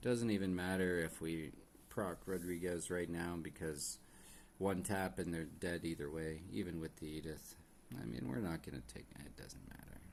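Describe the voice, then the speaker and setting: A man mumbles in a very deep, low pitch. His pace is moderate, with ordinary pitch variation. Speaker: gaming streamer. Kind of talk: live gameplay commentary. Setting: live stream. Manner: mumbling; hesitant, many fillers.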